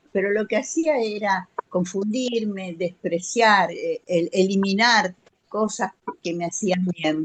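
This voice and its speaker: Somewhat breathy and at a medium pitch, a woman talks at a very slow pace with ordinary pitch variation. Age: 70s. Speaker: audience participant. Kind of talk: testimony. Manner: halting.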